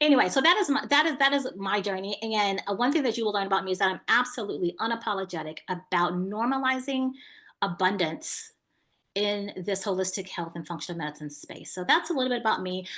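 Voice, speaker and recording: Against a quiet background, a woman with an American accent speaks very fast at a medium pitch, her tone bright and sharp and her intonation lively. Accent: slight country. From Houston, Texas. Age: 30s. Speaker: business coach for health practitioners. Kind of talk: online masterclass talk.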